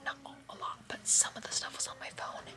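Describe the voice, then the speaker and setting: A woman talks at a moderate pace while noticeable background noise goes on. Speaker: youtuber. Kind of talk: casual vlog. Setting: on vacation with family.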